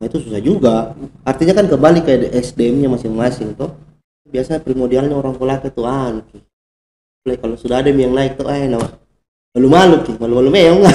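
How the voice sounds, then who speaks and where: A man at medium pitch with a dark, mellow tone, very fast yet with long, frequent pauses, and ordinary pitch variation. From Indonesia, Kolaka (Southeast Sulawesi). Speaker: photojournalist. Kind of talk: casual chat.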